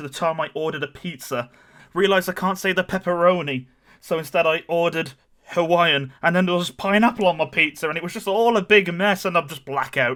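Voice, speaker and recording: In a British accent, a man with a high pitch and a bright, sharp tone talks at a fairly quick pace. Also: very clean recording, silent background. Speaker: gamer and streamer. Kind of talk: comedic story time to camera.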